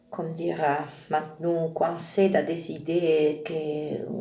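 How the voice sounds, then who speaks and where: Someone speaks in an Italian accent against noticeable background noise. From Italy. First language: Italian (speaking French). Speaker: spiritual video creator. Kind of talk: spiritual monologue. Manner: halting, many hesitations.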